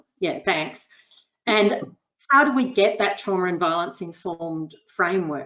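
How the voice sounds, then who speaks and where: Speaking at a fairly slow pace, a woman has a normal speaking voice of medium pitch with lively intonation. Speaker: researcher, panel expert. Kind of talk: expert panel webinar discussion. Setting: online webinar.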